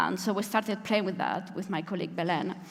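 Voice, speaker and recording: A woman with a Spanish accent speaks at a medium pitch with ordinary pitch variation and a somewhat breathy sound, with audible room echo around her. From Spain. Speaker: software engineering manager, conference speaker. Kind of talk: conference talk. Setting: stage with audience.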